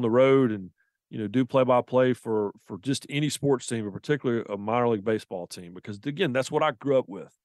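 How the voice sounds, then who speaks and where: A man with a Southern US accent speaks at a very fast pace and a medium pitch, with ordinary pitch variation and big swings in loudness. The sound is dry and close with no echo, over a quiet background. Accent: Southern, noticeable. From US South, the Carolinas. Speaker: sports journalist and author. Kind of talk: interview. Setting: remote from another city.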